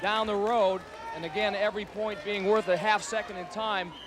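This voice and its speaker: Over crowd noise in the background, a man talks at a fairly quick pace in a high pitch with monotone, flat intonation. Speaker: game show announcer. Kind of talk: sports-style play-by-play commentary.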